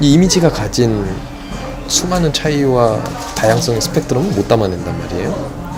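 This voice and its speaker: Music plays in the background as the voice moves at a moderate pace. Its pitch swings very wide. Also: man, medium pitch for a man. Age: 20s. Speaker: philosophy graduate, aspiring film director. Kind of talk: interview answer.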